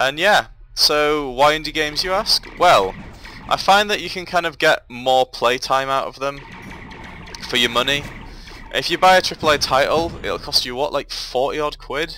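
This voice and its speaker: A man with an English accent, fairly high pitch and lively intonation, at a moderate pace with long, frequent pauses, over music in the background. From England. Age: 20s. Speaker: gaming YouTuber. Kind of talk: casual gameplay commentary. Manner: rambling, hesitant with fillers.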